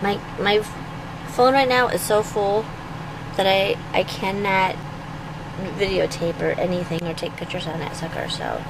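Through noticeable background noise, a woman speaks at a moderate pace with ordinary pitch variation and long, frequent pauses. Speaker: travel vlogger. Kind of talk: casual vlog chat. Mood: relaxed, chatty. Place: car. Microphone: phone near.

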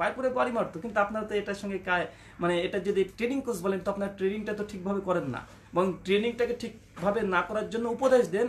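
A man speaks in a high pitch with ordinary pitch variation. Noticeable background noise is audible. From India. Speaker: Islamic preacher. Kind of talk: rebuttal talk.

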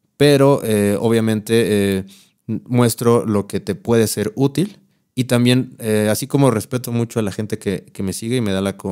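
Over a quiet background, a man with a Mexico City accent speaks at a moderate pace and medium pitch, with fairly even intonation and a dark, mellow tone. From Mexico City (Iztapalapa), later San Luis Potosí. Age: 30s. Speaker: content creator and guitarist. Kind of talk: casual chat. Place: studio. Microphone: studio mic.

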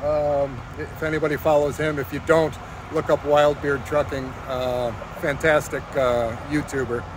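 A man talks at a fairly slow pace in a dry, echo-free sound, with noticeable background noise behind him. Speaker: truck driver vlogger. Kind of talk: casual vlog chat. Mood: excited, upbeat. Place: street. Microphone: phone near.

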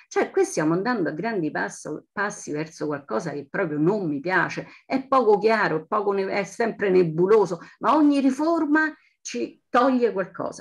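Against a quiet background, a woman speaks at a moderate pace with very wide swings in pitch. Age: 60s. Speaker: audience member at a lecture. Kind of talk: audience comment in lecture Q&A. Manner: halting, with many fillers and restarts; impassioned. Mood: concerned, earnest. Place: home room. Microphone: video call.

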